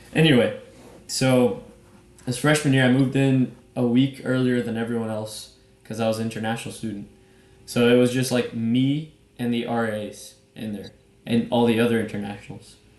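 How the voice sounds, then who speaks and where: A man talks in a monotone, flat intonation with long, frequent pauses and audible room echo. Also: medium pitch for a man, moderate pace. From Brazil. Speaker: podcast co-host. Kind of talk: casual chat. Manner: casual.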